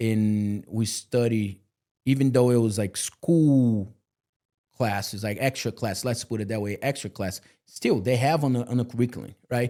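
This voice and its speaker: A man with a non-native accent speaks at a moderate pace in a medium pitch, his dark, mellow tone carrying fairly even intonation on a very clean recording with a silent background. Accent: foreign. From Brazil. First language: Portuguese. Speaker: multifamily real estate leader. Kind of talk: interview. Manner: casual conversational.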